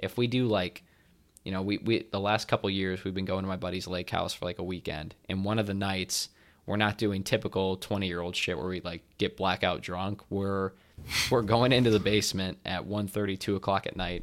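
An unremarkable speaking voice from a man, fairly quick in pace and fairly even in intonation, on a very clean recording with a silent background. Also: fairly low pitch for a man. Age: 20s. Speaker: movie podcast co-host. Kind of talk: casual chat.

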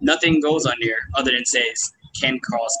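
A man's lively intonation against noticeable background noise. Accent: American. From Houston, Texas. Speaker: cannabis expert and healer. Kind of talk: casual chat. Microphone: bad audio, strange sound.

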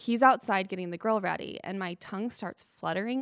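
A woman speaks in a plain, everyday voice. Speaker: cancer patient, former college student. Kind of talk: conversational interview. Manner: laughs often.

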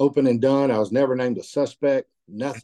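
A man talks at a fairly quick pace with a Southern US accent. His tone is dark and mellow. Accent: Southern US (Georgia). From US South, Georgia. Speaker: author and business owner. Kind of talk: interview testimony. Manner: halting, repeats words.

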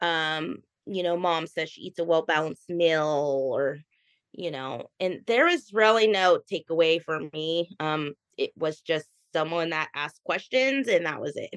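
A woman's fairly low-pitched, ordinary speaking voice at a fairly slow pace, with ordinary pitch variation and big swings in loudness, in a dry, close sound with no echo over a quiet background. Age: 20s. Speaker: mother recovered from an eating disorder. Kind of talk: interview testimony.

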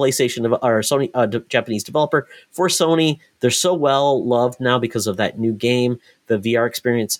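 A man with a normal speaking voice talks at a fairly quick pace and medium pitch, with ordinary pitch variation, very even loudness and a dry, close sound with no echo. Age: 40s. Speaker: video game podcast host. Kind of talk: casual chat.

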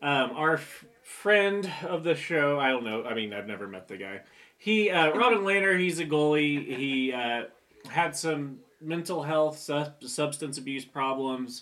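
A man with a normal speaking voice, fairly high in pitch, at a fairly slow pace, with lively intonation and big swings in loudness. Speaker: podcast host. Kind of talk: casual banter. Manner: joking, profane.

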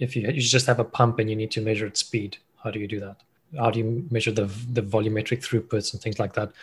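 Speaking at a very fast pace, a man keeps a monotone, flat intonation at medium pitch, somewhat breathy. The recording is very clean, with a silent background. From South Africa, Cape Town. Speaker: machine learning engineer. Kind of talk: interview. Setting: call.

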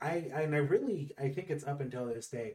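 A man's fairly slow delivery with lively intonation. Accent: American. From California. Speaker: podcast host. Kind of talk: casual chat.

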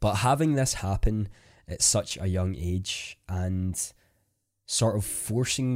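In a very clean recording with a silent background, a man with a Scottish accent speaks in a very deep, low voice with a dark, mellow tone. His pace is fairly slow and his pitch variation ordinary. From Scotland. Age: 20s. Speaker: podcast host, content creator. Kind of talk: solo podcast monologue.

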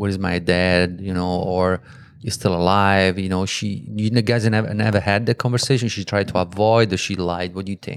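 Speaking in an Italian accent, a man uses a fairly low pitch and fairly even intonation at a moderate pace. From Italy. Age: 50s. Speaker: guest interviewer. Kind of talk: casual chat.

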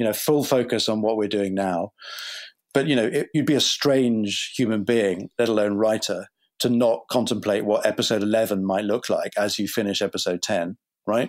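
A man with a British accent talks at a moderate pace and a fairly low pitch, with ordinary pitch variation and very even loudness, on a very clean recording with a silent background. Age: 50s. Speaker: TV writer and creator. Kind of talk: interview answers.

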